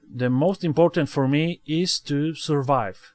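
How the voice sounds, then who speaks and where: In a Polish accent, a man speaks at a very slow pace with fairly even intonation. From Poland. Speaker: gaming video creator. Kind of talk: let's play commentary. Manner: halting, many fillers and repetitions.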